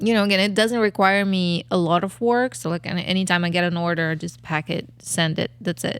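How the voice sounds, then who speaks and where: A woman talks at a fairly quick pace in a fairly low voice. Her pitch varies in an ordinary way. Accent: Kazakh. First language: not English. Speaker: podcast co-host, photographer. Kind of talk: casual chat.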